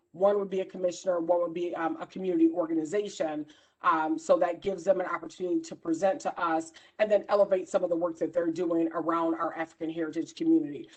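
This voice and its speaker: Talking at a very fast pace, a woman keeps a fairly low pitch and fairly even intonation. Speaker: council chair. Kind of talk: meeting.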